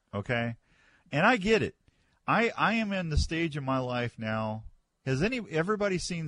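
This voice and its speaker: A man with an ordinary speaking voice, lively intonation and a moderate pace, against a quiet background. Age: 60s. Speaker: radio host. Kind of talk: casual chat. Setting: studio.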